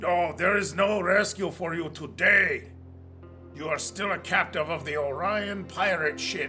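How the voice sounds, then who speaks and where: With clear music in the background, a man puts on a gruff character voice at a high pitch and a moderate pace. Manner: menacing.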